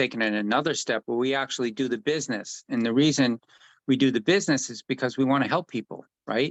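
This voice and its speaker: A man talks in a plain, everyday voice at a medium pitch and a fairly quick pace. The sound is dry and close with no echo, over a quiet background. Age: 60s. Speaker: health product distributor. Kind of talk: casual conversation with sales pitch.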